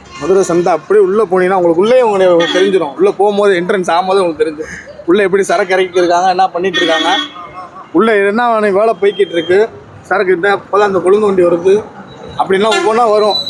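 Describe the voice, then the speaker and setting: Over noticeable background noise, a man talks in a high voice with very even loudness and fairly even intonation. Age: 20s. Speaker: garland maker. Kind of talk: casual interview.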